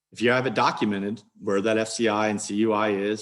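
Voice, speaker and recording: A man in a monotone, flat intonation. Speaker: cybersecurity compliance consultant. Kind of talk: webinar presentation. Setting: online webinar. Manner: fast.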